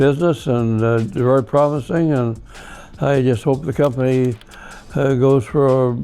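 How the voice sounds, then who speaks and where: Over music in the background, the speaker keeps a very even loudness, a moderate pace and ordinary pitch variation. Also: man. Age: 80s+. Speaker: lumber company founder. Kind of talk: interview answer. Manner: halting, with many fillers.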